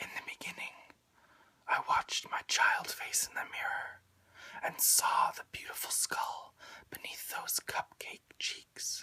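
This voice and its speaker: The speech is whispered at a fairly slow pace. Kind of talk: whispered poetry reading. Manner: whispered, soft-spoken, relaxing.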